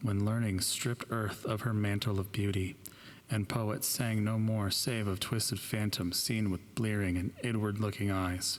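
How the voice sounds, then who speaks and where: At a fairly slow pace, a man with a fairly low pitch talks in an ordinary speaking voice with fairly even intonation. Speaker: audiobook narrator. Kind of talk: horror story reading.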